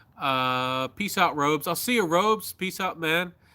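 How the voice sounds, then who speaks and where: A man with an American accent talks at a fairly high pitch in a bright, sharp tone. The recording is very clean, with a silent background. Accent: slight Southern, others doubt he is Southern. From US South. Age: 30s. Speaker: YouTuber. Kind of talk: casual live-stream chat. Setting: outdoors at night on a live stream. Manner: halting, with speech difficulties.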